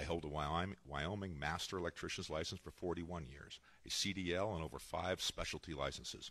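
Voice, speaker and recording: Here a man talks at a fairly quick pace. His pitch is very deep and low, with vocal fry. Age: 60s. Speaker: state senator. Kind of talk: debate opening statement. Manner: formal.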